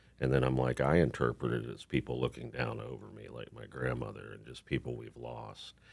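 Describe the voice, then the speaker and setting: Speaking fast with hardly any pauses, a man with an American accent and a very deep, low pitch sounds monotone and flat, with vocal fry and big swings in loudness. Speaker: singer-songwriter and actor. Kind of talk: casual chat.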